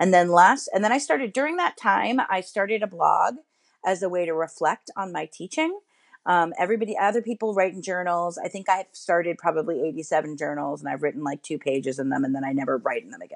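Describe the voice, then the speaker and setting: The speech comes at a very fast pace with lively intonation against a quiet background. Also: woman, fairly low pitch for a woman. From New York City. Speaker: education writer and editor, former teacher. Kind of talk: interview.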